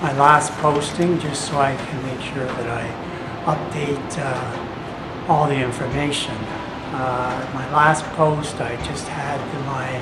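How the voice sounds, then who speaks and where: A man's fairly high voice at a very slow pace, with fairly even intonation and noticeable background noise. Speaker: video blogger living with HIV and hepatitis C. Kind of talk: casual health update vlog to camera. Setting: camcorder without external microphone. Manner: hesitant, many filler words.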